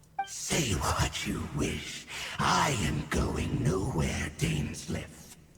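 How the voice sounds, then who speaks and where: A man's cartoonish character voice, very deep and low, at a very slow pace with clear echo. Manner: cold, formal, zealous.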